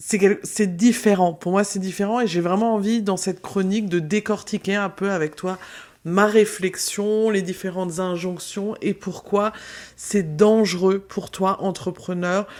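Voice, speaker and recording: A woman's medium-pitched voice, fairly slow, with monotone, flat intonation. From France, Alsace. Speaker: business mentor, podcaster. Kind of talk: podcast monologue.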